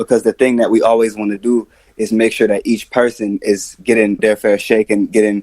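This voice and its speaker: A man with an American accent, fairly low in pitch, monotone and flat, at a moderate pace, with a dry, close sound and no echo. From Atlanta, US South. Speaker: rapper and music producer. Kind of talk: interview.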